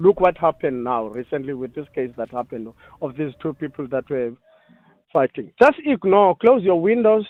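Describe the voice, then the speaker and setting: Pitch swings very widely as this man speaks. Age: 60s. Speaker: caller. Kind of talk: phone-in call.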